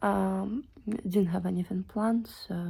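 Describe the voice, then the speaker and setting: Speaking at a very slow pace with a non-native accent, a woman has a medium-pitched, somewhat breathy voice with a dark, mellow tone. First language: not English. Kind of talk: casual talk to camera. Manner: unscripted, hesitant.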